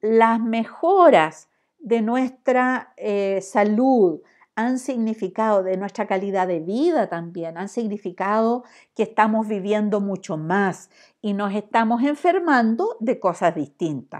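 Very slowly and with lively intonation, a woman speaks at a fairly high pitch over a quiet background. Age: 60s. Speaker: professor. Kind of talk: lecture. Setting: recorded online class. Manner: halting.

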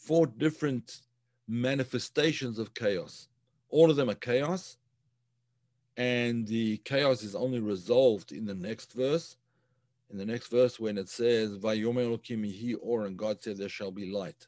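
A man speaks at a fairly slow pace with ordinary pitch variation. The sound is dry with no echo, and the background is quiet. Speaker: teacher of religious texts. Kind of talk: lecture. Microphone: webcam.

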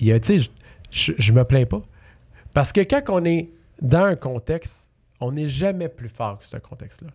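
A man speaks fairly slowly in a fairly high, somewhat breathy voice against a quiet background. His pitch swings very widely, and his loudness rises and falls sharply. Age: 30s. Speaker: real estate investor; podcast guest. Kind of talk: casual interview. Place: studio. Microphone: studio mic.

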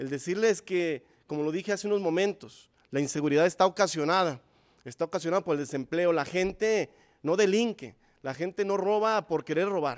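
Over a quiet background, a man talks at a fairly quick pace with a high pitch and ordinary pitch variation. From Zapopan, Jalisco, Mexico; Jalisco, Mexico. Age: 30s. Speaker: mayoral candidate, primary school teacher; candidate, primary school teacher. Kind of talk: political debate. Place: studio. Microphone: podium.

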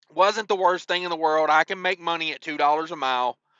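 A man talks with ordinary pitch variation. The sound is dry with no echo, and the background is quiet. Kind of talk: casual vlog chat. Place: car. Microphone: phone near.

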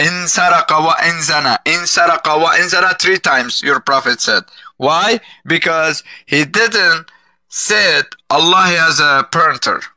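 The sound is dry with no echo as a man talks at a fairly slow pace with very even loudness over a quiet background. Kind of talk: heated debate. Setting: video call. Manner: loud, insistent, repetitive. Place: home room. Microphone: headset.

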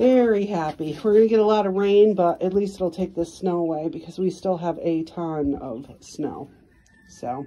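Her pitch is fairly low for a woman, and it varies in an ordinary way. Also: moderate pace. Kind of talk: casual vlog chat. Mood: cheerful, relaxed. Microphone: phone near.

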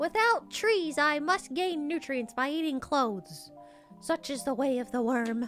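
A female-sounding, put-on character voice speaks high-pitched at a moderate pace. Clear music plays in the background.

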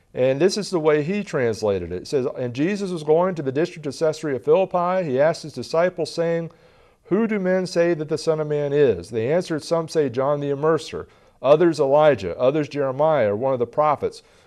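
At a fairly quick pace, a man with a fairly high pitch and a slightly mellow tone speaks with lively intonation.

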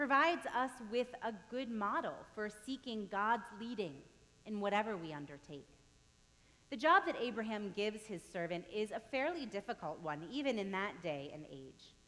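A woman's bright, sharp voice at a moderate pace, with very wide pitch swings and big swings in loudness. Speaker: pastor. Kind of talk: sermon. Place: church.

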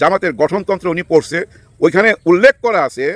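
This man has a high-pitched, animated voice, recorded with a dry, close sound and no echo. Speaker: political commentator. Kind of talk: political commentary monologue. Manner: animated, colloquial.

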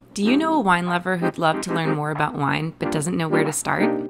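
A woman speaking at a fairly quick pace, music in the background. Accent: American. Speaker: voice actor. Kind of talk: TV commercial read. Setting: studio. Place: studio.

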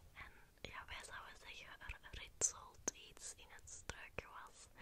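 The speaker is a woman. She is whispering. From Antwerp, Belgium. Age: 20s. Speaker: ASMR creator. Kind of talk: ASMR trigger words. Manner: whispered. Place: home room. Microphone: studio mic.

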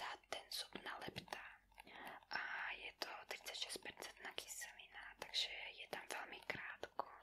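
Soft-spoken whispering at a fairly slow pace, with light background noise. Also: woman. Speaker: dental commentator. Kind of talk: explanatory commentary over procedure video. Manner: soft close-mic whisper. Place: home room.

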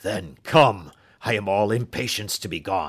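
A man puts on a character voice, speaking at a moderate pace. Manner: eager, impatient, emotional.

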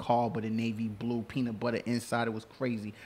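With a New York accent, a man talks at a fairly quick pace in a monotone, flat intonation. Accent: New York City. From New York City, Queens. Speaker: show producer and guest co-host. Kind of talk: casual chat.

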